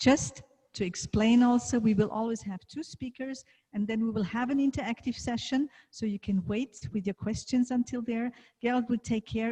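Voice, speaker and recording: In a German accent, a woman speaks at a fairly quick pace with a fairly high, somewhat breathy voice, a dark, mellow tone and ordinary pitch variation, the sound dry and close with no echo. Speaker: leadership coach and event host. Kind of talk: event moderation.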